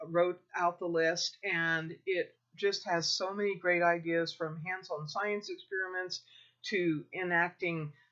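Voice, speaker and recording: A woman with a Midwestern US accent speaks at a fairly slow pace in a fairly low, flat monotone. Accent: US Midwest. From Kansas, US Midwest. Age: 60s. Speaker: homeschooling parent advisor. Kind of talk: informal advice talk.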